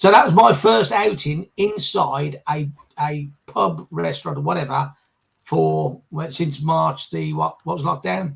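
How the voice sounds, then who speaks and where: A man talks at a fairly slow pace in a fairly high, somewhat breathy voice. His pitch swings very widely. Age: 60s. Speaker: business finance panelist. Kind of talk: casual chat. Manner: halting.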